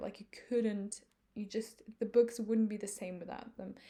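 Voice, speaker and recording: With a non-native accent, a woman speaks at a moderate pace in a fairly high, dark, mellow voice with ordinary pitch variation. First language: not English. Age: 20s. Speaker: book vlogger. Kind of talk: casual monologue. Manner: halting, many fillers.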